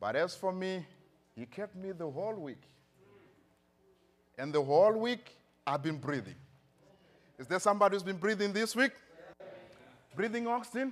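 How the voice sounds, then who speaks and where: A man with a Zimbabwean accent speaks at a high pitch and a moderate pace, with an animated tone. His loudness swings widely, and he takes long, frequent pauses. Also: lively intonation. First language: Shona. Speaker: pastor. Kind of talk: sermon. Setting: church.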